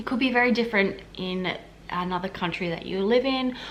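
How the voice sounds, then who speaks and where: A woman with an Australian accent talks at a moderate pace and medium pitch with ordinary pitch variation. Noticeable background noise and audible room echo surround her voice. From Australia, Queensland. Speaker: health administration worker and vlogger. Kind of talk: casual vlog Q&A. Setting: at home. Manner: casual, many fillers.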